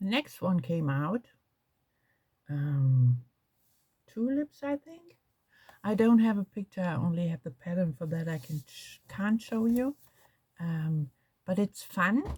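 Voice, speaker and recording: In a German accent, a woman with a dark, mellow, somewhat breathy tone speaks at a fairly slow pace with very wide pitch swings and long, frequent pauses, in a dry, close sound with no echo. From Germany. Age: 60s. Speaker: crafts vlogger. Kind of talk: casual chat. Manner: halting.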